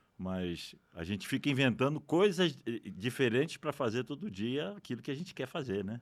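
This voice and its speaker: A man at a medium pitch talks with very wide pitch swings and hardly any pauses. The recording is very clean, with a silent background. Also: moderate pace. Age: 60s. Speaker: retired economist, podcast guest. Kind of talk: casual interview.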